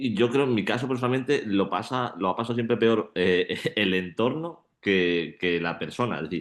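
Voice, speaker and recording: Against a quiet background, a man with an ordinary speaking voice talks at a fairly slow pace, his pitch varying in an ordinary way. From Málaga, Andalusia, Spain. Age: 20s. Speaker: shot put athlete and student. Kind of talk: panel discussion.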